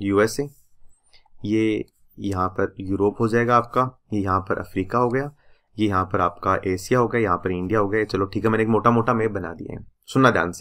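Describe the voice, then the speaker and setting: Over a quiet background, a man with a fairly low, bright, sharp voice talks at a moderate pace with fairly even intonation. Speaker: exam prep teacher. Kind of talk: lecture. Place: home room.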